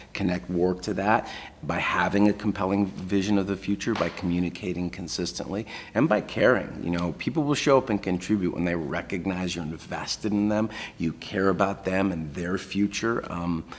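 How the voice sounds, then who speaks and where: A man talks with a very deep, low pitch and ordinary pitch variation. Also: moderate pace. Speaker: keynote speaker. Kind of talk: interview answer. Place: office. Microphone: lapel.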